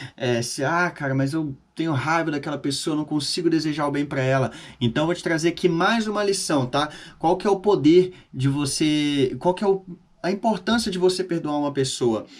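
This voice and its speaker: Silence fills the background of this very clean recording. The man's pitch sits fairly high and varies in an ordinary way. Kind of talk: informal Bible teaching monologue. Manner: fast; casual, conversational.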